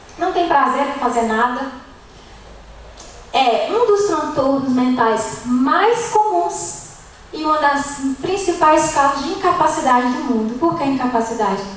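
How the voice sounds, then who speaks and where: A woman's high voice with very wide pitch swings at a fairly slow pace, with audible room echo and noticeable background noise. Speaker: nutritionist giving a church talk. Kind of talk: lecture.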